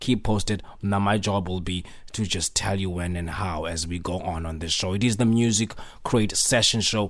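A man with a very deep, low voice and a relaxed, warm tone talks at a moderate pace. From Cape Town, South Africa. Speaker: radio DJ and show host. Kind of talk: radio DJ patter introducing house tracks between mixes. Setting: radio broadcast studio. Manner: relaxed, warm, upbeat; casual, rambling with filler words and repeated phrases.

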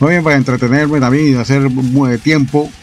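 Music plays in the background as a man speaks with a Panamanian accent. His voice is fairly high, with ordinary pitch variation and a fairly quick pace. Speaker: online radio host. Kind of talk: radio DJ patter, casual chatty show-host talk introducing songs and greeting listeners. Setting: radio studio booth. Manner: relaxed, friendly, upbeat radio-host delivery with laughs.

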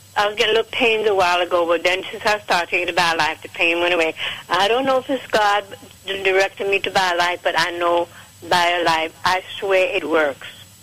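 Noticeable background noise behind a woman's medium-pitched voice, an American accent, ordinary pitch variation and a fairly quick pace. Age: 70s. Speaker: caller giving product testimonial. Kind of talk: phone-in testimony.

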